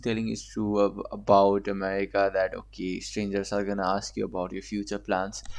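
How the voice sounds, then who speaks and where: The background is quiet. A man with a non-native accent speaks at a moderate pace. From Asia. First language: not English. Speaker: reaction video creator. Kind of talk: casual commentary reacting to a video.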